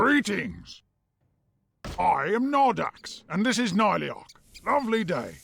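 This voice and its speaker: Using a put-on character voice, a man speaks high in pitch at a fairly slow pace with long, frequent pauses. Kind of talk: videogame voice acting. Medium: video game. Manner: polite, rambling, genteel.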